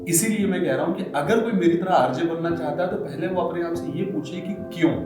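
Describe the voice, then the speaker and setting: High-pitched man with ordinary pitch variation, amid noticeable background noise. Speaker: radio jockey. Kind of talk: interview answer.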